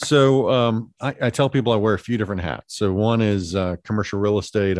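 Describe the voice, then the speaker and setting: In an ordinary speaking voice, a man talks at a fairly quick pace and a fairly low pitch with ordinary pitch variation, the sound dry and close with no echo over a quiet background. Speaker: restaurateur and art sponsor. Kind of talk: casual interview chat.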